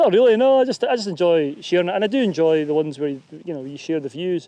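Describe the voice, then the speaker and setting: Dark and mellow, the voice carries a Scottish accent. It moves at a fairly quick pace with ordinary pitch variation. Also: man. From Scotland. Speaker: YouTuber and hillwalker. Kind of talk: casual chat. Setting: outdoors. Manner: halting.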